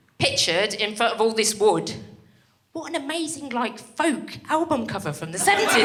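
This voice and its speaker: A woman's pitch swings very widely. Audible room echo surrounds her voice. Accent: Birmingham. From Birmingham, English Midlands. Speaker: stand-up comedian. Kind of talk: stand-up. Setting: stage with audience. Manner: animated.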